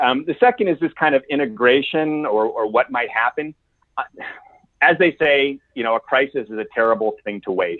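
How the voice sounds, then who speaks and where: A man's normal speaking voice, fairly high in pitch, with an American accent, lively intonation and a moderate pace. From United States. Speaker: executive coach. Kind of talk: podcast interview.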